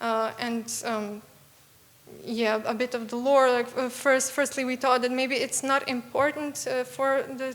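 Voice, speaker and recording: A woman with a Serbian accent speaks in a high voice at a fairly slow pace. Her intonation stays monotone and flat. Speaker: young game developer presenting a student project. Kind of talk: Q&A after a pitch presentation. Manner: halting, many fillers.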